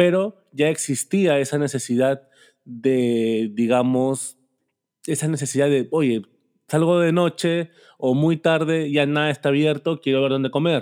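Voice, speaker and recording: An ordinary speaking voice moves at a fairly slow pace with very even loudness and ordinary pitch variation in a very clean recording with a silent background. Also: man, fairly high pitch for a man. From Peru. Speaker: podcast host. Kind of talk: casual interview.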